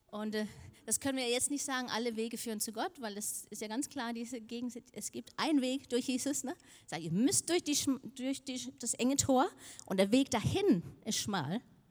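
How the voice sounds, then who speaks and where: A woman's high voice in a Danish accent, with lively intonation at a moderate pace. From Denmark. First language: Danish (speaking German). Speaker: preacher. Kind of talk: sermon.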